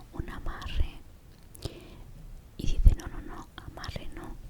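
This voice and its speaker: A woman's relaxed whisper at a very slow pace, with noticeable background noise. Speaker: ASMR creator. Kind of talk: ASMR storytime, personal story told to camera. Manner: soft-spoken, relaxed, reflective.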